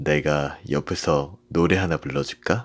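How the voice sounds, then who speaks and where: Playful male voice with vocal fry at a fairly slow pace, very clean recording with a silent background.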